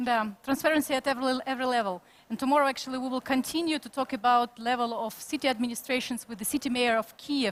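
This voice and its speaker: A woman with a Ukrainian accent speaks at a very fast pace with hardly any pauses, her high pitch held in fairly even intonation. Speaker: conference moderator. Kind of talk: panel interview. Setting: conference studio.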